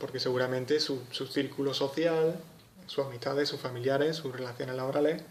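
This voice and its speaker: In an Andalusian accent, a man talks at a fairly quick pace with a medium pitch, and room echo is audible. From Andalusia, Spain. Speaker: psychology tutor. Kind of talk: lecture. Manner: casual, with hesitations.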